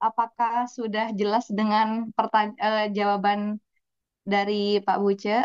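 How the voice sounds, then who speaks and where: A woman at a fairly high pitch with a Javanese accent, in a dry, close sound with no echo. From East Java. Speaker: moderator, affiliate marketer. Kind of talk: webinar moderating. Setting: video call webinar.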